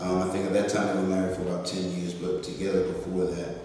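Strong room echo surrounds a man's fairly low voice. Faint music plays in the background. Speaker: interview guest. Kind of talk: interview answer. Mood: earnest, personal story. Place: meeting room.

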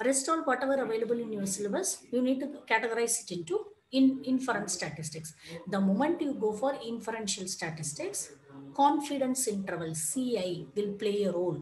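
Over light background noise and audible room echo, a woman talks at a fairly quick pace in a fairly high, somewhat breathy voice with very wide pitch swings. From India. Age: 40s. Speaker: lecturer. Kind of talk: lecture. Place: home room. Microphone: headset.

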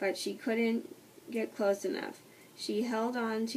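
Someone reads in a natural voice.

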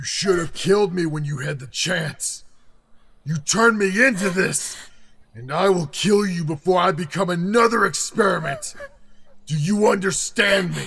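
A man puts on a character voice pitched high. He keeps a moderate pace. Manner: menacing, threatening.

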